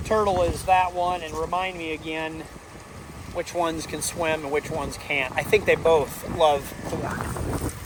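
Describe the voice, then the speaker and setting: The speech moves at a fairly slow pace. Noticeable background noise is heard throughout. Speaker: farmer. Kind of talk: casual farm vlog narration. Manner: loud, yelling with earplugs in.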